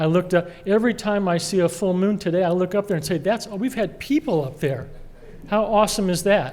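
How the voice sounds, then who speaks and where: In an American accent, a man speaks at a fairly quick pace with a high pitch. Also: ordinary pitch variation. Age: 60s. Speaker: award honoree, cybersecurity expert. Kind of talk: award acceptance speech. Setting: gala dinner with audience.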